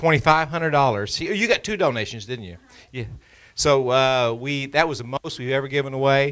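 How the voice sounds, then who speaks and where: An ordinary speaking voice: a man with an American accent talks at a fairly quick pace in a fairly high pitch, with ordinary pitch variation. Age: 60s. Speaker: party official. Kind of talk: meeting speech. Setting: meeting room with audience.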